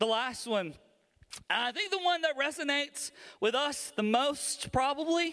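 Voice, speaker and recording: Using a Southern US accent, a man speaks in a raised, projected voice. His pace is fairly slow. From US South, Alabama. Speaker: pastor. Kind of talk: sermon. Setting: church. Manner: animated.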